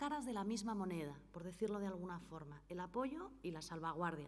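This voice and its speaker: A woman's voice with lively intonation and audible room echo. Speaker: notary and foundation director. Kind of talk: conference talk. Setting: conference hall with audience and interpreter.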